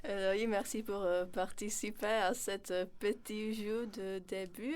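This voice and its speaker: A woman speaks at a very slow pace. Her intonation stays fairly even. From Czech Republic. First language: Czech (speaking French). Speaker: radio host. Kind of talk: radio interview. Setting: radio studio.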